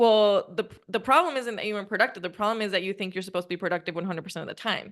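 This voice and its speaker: Talking at a very fast pace in a Spanish accent, a woman with a medium pitch uses ordinary pitch variation and big swings in loudness. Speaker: podcast host and coach. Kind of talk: casual interview chat.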